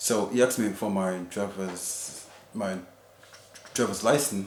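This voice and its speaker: Here a man speaks with a fairly low pitch. Audible room echo and noticeable background noise surround him. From Jamaica. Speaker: husband sharing his experience. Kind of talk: personal testimony in casual interview. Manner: halting, many fillers.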